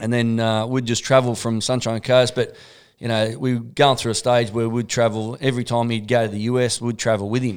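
The speaker has an Australian accent and a fairly quick pace. Intonation is monotone and flat, in a very clean recording with a silent background. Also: man, medium pitch for a man. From Australia (Sydney, Newcastle). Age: 40s. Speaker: MMA and boxing coach. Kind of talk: casual chat.

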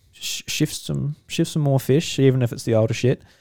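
Dry and close with no echo, this very clean recording with a silent background captures a man with an Australian accent speaking at a fairly quick pace with ordinary pitch variation. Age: 20s. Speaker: podcast host. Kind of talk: casual chat. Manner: animated.

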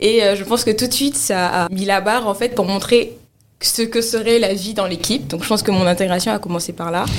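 Speaking at a fairly quick pace, a woman uses a medium pitch and ordinary pitch variation in an unremarkable speaking voice. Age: 20s. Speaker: cloud engineer. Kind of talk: interview. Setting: studio.

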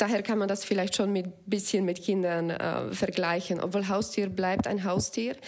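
A woman with a Slovak accent at a medium pitch, in a monotone, flat intonation. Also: moderate pace. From Slovakia. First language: Slovak (speaking German). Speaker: app founder. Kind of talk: casual interview.

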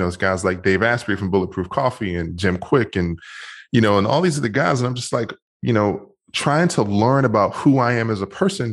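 In a normal speaking voice, a man with an American accent talks at medium pitch and a moderate pace, with ordinary pitch variation and a quiet background. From Washington, D.C. and Maryland suburbs. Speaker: motivational speaker and men's coach. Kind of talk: interview.

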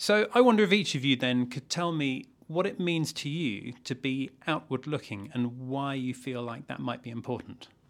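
In a normal speaking voice, the speaker keeps a moderate pace with hardly any pauses and lively intonation. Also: man, fairly high pitch for a man. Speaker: podcast host. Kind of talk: interview, friendly chat.

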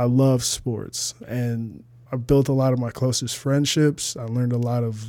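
With a US Midwestern accent, a man speaks at a fairly slow pace in a medium-pitched, dark, mellow tone with monotone, flat intonation. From Toledo, Ohio, US Midwest. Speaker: fitness trainer and model. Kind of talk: podcast interview.

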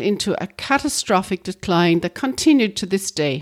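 A woman with an Irish accent at a moderate pace, pitch swinging very widely, on a very clean recording with a silent background. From Ireland. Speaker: podcast co-host. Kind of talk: reading aloud.

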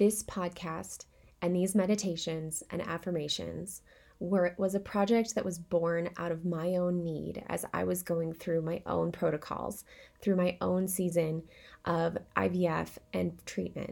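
A woman's fairly low, monotone voice with flat intonation at a fairly slow pace. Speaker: meditation host. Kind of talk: guided meditation. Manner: warm, reassuring.

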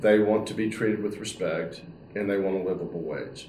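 At an average speed, an unremarkable speaking voice talks with an American accent. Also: man. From Texas, Dallas. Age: 60s. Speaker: senior living company CEO. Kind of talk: interview.

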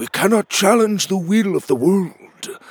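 Using a put-on character voice, a man speaks high-pitched and fairly slowly, with lively intonation and a slightly husky edge.

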